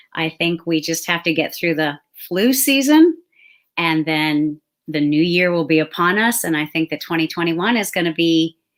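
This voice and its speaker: An unremarkable speaking voice at a moderate pace, ordinary pitch variation, very clean recording with a silent background. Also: woman, fairly low pitch for a woman. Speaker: confidence strategist and show host. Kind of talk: live interview show host.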